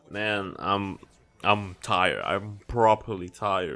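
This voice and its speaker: Over music in the background, a man with a non-native accent speaks in a fairly low voice. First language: not English. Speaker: gaming youtuber. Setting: home recording while editing. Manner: halting.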